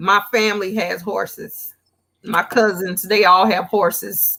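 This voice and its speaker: A woman talks at a very slow pace in a Southern US accent. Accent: Southern-tinged. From Gary, Indiana. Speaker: guest crafter, custom apparel maker. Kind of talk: casual chat.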